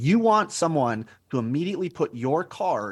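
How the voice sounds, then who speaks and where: With an American accent, a man talks in an animated tone on a very clean recording with a silent background. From New Mexico, US. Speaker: business coach. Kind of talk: interview.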